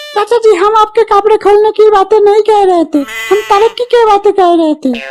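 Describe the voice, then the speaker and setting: Amid clear background noise, a cartoonish character voice at an extremely high pitch speaks at a moderate pace. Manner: eager.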